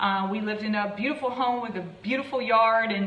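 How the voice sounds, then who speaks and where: A woman with an American accent speaks at a fairly high pitch with ordinary pitch variation. Audible room echo and noticeable background noise surround her voice. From US, Maryland. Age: 40s. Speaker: fitness and weight loss coach. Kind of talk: live stream talk to viewers. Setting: live video stream. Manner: fast.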